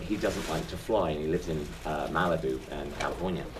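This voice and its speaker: A man talks at a fairly quick pace, with audible room echo and noticeable background noise. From southern England. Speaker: stage actor. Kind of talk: interview.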